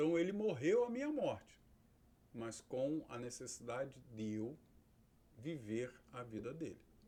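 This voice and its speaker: A man's dark, mellow tone with lively intonation, a fairly slow pace, long and frequent pauses, and audible room echo. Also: medium pitch for a man. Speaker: pastor and theology teacher. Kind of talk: lecture.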